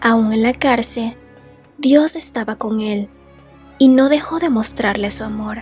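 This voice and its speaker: Soft-spoken and very slow, a woman speaks with long, frequent pauses, her fairly high pitch varying in an ordinary way. Music plays in the background. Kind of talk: sleep story. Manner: soft-spoken, relaxing.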